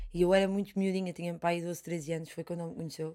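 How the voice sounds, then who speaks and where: Against a quiet background, a woman with a dark, mellow tone and a fairly low pitch speaks with monotone, flat intonation. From Portugal. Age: 20s. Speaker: fado singer; interviewee. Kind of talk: interview conversation. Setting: studio. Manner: halting, many repetitions. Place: studio. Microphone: studio mic.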